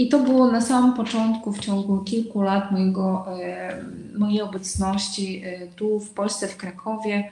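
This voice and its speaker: Delivered at a moderate pace with fairly even intonation, the speech shows big swings in loudness amid noticeable background noise and audible room echo. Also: woman, medium pitch for a woman. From Uzbekistan. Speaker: entrepreneur running women's projects. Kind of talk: live-streamed panel discussion.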